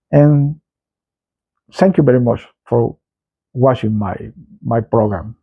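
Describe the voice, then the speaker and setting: In a Salvadoran accent, a man with a dark, mellow tone speaks very slowly, his intonation lively. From El Salvador. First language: Spanish. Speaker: political commentator, channel owner. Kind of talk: political commentary monologue. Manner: halting, repeats words.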